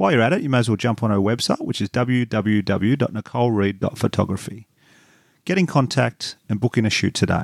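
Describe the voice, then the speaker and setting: A man with an Australian accent at a medium pitch, fairly quick pace and ordinary pitch variation, in a very clean recording with a silent background and a dry, close sound with no echo. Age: 30s. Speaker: comedian and podcast host. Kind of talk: read ad; casual interview. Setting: cardiologist's office.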